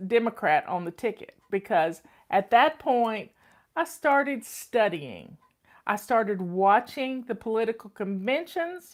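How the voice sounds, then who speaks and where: Speaking in a North Carolina accent, a woman uses a fairly high pitch and lively intonation. She goes at a fairly slow pace. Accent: Southern US (North Carolina). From US South. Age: 60s. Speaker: home organizing coach and channel host. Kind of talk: casual personal talk to online audience.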